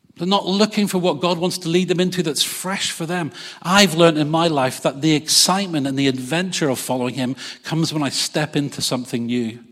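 With noticeable background noise around him, a man speaks in an animated tone at a fairly high pitch, with ordinary pitch variation. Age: 50s. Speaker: pastor. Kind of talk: sermon. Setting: church service with congregation.

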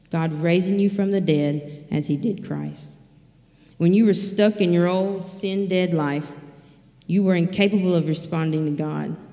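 With a Mississippi accent, a woman speaks at a fairly low pitch and a fairly slow pace, her dark, mellow tone and fairly even intonation set in audible room echo. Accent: Southern US (Mississippi). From US South, rural Mississippi. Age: 20s. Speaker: recovery program staff member. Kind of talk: sermon.

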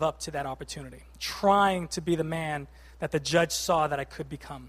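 Fairly high in pitch, a man talks at a fairly slow pace with fairly even intonation on a very clean recording with a silent background. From Boston, Massachusetts. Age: 30s. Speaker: lay preacher. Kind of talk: sermon. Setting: church.

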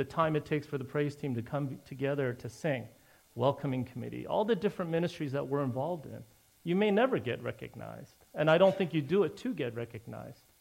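Speaking at a very fast pace, a man uses lively intonation, a fairly high pitch and vocal fry. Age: 50s. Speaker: pastor. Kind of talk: sermon. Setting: church.

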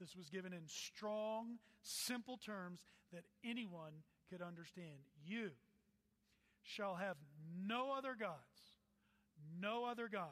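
A man speaks with an American accent, high-pitched for a man, at a very slow pace. His pitch varies in an ordinary way, with long, frequent pauses. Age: 40s. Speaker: pastor. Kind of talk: sermon.

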